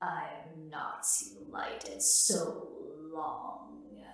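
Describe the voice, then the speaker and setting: A croaky, hissing put-on character voice at a middle pitch moves at a very slow pace. Slight echo can be heard. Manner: anguished, hissing.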